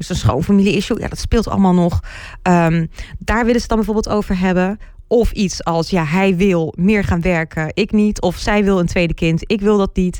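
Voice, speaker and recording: A woman's normal speaking voice, medium in pitch, with fairly even intonation. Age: 40s. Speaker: relationship coach. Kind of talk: casual interview.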